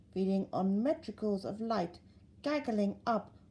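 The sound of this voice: This is an unforced reading voice. It is heard on its own.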